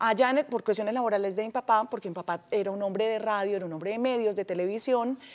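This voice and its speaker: The speaker is a woman with a fairly high pitch. Her pitch varies in an ordinary way. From Peru, raised partly in Colombia. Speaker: TV presenter. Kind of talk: TV interview; interview answer. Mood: cheerful, reminiscing. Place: studio. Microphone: lapel.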